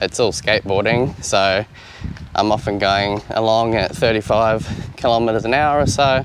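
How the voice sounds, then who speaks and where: A man speaks in a fairly low voice. Noticeable noise sits in the background. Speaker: YouTuber testing camera gear. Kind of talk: gear review tutorial. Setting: outdoors. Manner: casual, relaxed.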